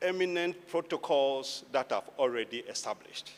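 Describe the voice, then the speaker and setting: A man speaks at a very slow pace. The recording is very clean with a silent background. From Ghana. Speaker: governance official, keynote speaker. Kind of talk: speech. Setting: stage with audience.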